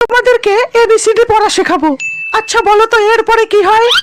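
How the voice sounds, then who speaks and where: A woman's cartoonish character voice at an extremely high pitch and moderate pace, with sound effects in the background. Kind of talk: comic cartoon dubbing. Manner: bossy, questioning.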